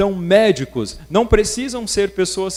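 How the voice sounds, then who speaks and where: A man at a fairly slow pace. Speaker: workshop speaker. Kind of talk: lecture.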